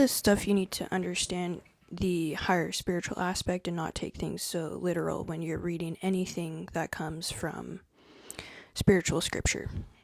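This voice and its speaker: At a medium rate, the voice comes across as soft-spoken. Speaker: spiritual content creator. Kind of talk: live stream talk to viewers.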